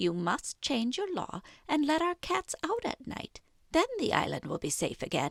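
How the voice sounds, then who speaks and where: Moderately paced, high-pitched put-on character voice from a woman. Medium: read story. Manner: calm, knowing.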